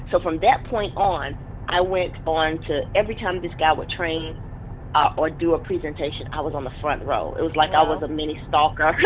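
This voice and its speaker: A woman speaks in a very deep, low pitch with a passionate, animated tone. She talks fairly quickly over noticeable background noise. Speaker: business coach and network marketer. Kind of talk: interview.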